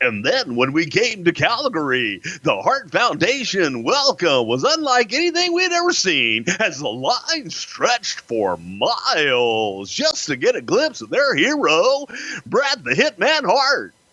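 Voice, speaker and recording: A man's high-pitched, put-on character voice at a fairly slow pace. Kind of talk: radio DJ voice.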